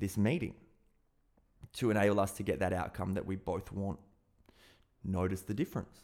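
A man talks at a fairly quick pace in an Australian accent. The recording is very clean, with a silent background. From South Australia. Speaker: podcast host, hypnotist and personal development coach. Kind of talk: solo podcast monologue.

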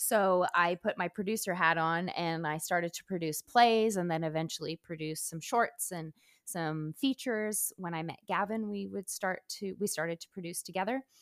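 A woman with a normal speaking voice and fairly low pitch speaks with hardly any pauses, ordinary pitch variation, and big swings in loudness. The recording is very clean with a silent background, and the sound is dry and close with no echo. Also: moderate pace. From Quebec, Canada (small town near Montreal). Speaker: actor and stunt performer. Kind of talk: casual interview chat.

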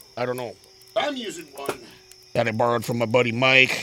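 There's noticeable background noise behind a man speaking at a medium pitch. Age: 40s. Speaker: history podcast co-host. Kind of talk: casual chat.

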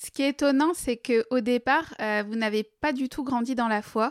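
In a very clean recording with a silent background and a dry, close sound with no echo, a woman speaks at a moderate pace in a high pitch with fairly even intonation. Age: 30s. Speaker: podcast host. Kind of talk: interview.

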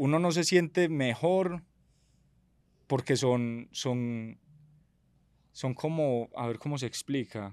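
A man talks at a very slow pace, pausing long and often. His pitch varies in an ordinary way. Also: medium pitch for a man. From Medellín, Colombia. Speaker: entrepreneur and reality show winner. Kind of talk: casual interview conversation.

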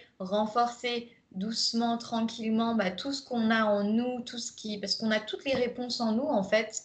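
Somewhat breathy, a woman speaks fairly slowly at a fairly high pitch. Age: 20s. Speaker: life coach. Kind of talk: recorded masterclass, conversational presentation. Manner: hesitant, many fillers.

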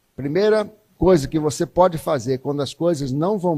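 This man's voice has a dark, mellow tone and a fairly high pitch, with a Brazilian accent. His intonation is lively and his pace fairly slow. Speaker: guest preacher. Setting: church, evening service with congregation. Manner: animated, emphatic, repetitive for effect, rising and pleading tone.

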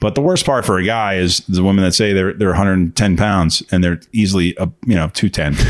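Fairly even intonation and very even loudness at a moderate pace, with hardly any pauses and noticeable background noise. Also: man, very deep, low pitch for a man. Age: 50s. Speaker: podcast co-host. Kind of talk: casual chat.

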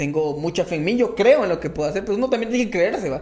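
A man speaks with lively intonation. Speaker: comedian. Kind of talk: casual chat.

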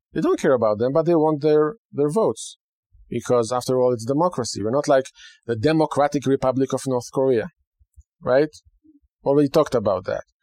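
A man with an Israeli accent and a dark, mellow tone talks at a fairly quick pace with long, frequent pauses, his pitch fairly high with ordinary variation, in dry, close sound with no echo. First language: Hebrew. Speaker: rabbi and radio host. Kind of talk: radio talk monologue.

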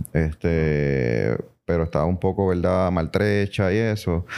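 A man with a very deep, low voice and a dark, mellow tone speaks at a moderate pace with ordinary pitch variation, recorded very cleanly against a silent background. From Puerto Rico. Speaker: business association president. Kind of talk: casual interview. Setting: association offices.

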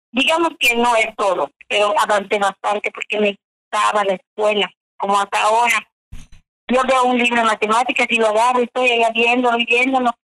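A woman with a fairly high pitch and a bright, sharp tone talks at a fairly quick pace, her loudness very even and her intonation fairly even, in a dry, close sound with no echo. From Yucatán, Mexico (Chumayel). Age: 60s. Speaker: contest winner, adult learner. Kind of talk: radio interview testimony.

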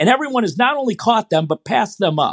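With an American accent and lively intonation, a man talks at a very fast pace in a high pitch, in a dry, close sound with no echo over a quiet background. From Michigan, US. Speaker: running coach. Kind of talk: interview. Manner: halting, many fillers.

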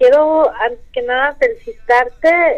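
Very slowly, a woman speaks with very wide swings in pitch. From Mexico, Veracruz. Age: 40s. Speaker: caller. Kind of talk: call-in comment.

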